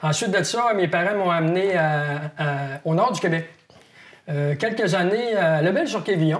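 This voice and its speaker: Over noticeable background noise, a man with a high pitch and ordinary pitch variation keeps his loudness very even and leaves long, frequent pauses. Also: fairly slow pace. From Quebec (Saguenay, Quebec City, northern Quebec). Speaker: wildlife biologist, fishing columnist. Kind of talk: interview. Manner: hesitant, many fillers.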